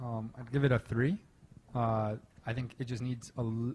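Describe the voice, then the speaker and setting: A man's medium-pitched voice, somewhat breathy, with a dark, mellow tone. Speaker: membership lead and pitch deck director. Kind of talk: panel feedback.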